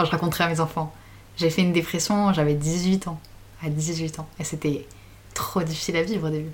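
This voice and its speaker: Pausing long and often, a woman talks at a fairly quick pace with a fairly low pitch, a somewhat breathy quality and monotone, flat intonation. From France, Grenoble. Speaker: student. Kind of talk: casual chat.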